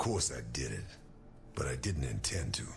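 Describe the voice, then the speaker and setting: A man speaks in a put-on character voice with a calm tone. Background noise is clearly audible. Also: moderate pace. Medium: video game. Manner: calm, blunt.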